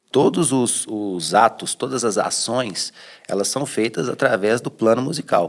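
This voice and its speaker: A plain, everyday voice keeps a moderate pace and shows ordinary pitch variation. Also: man. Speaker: cultural heritage scholar. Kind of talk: interview answer.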